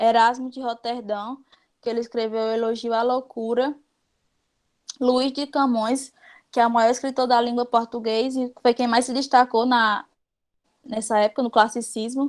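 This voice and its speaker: A woman speaks at a high pitch in a monotone, flat intonation with long, frequent pauses, captured in a very clean recording with a silent background. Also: moderate pace. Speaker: teacher. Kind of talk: lecture.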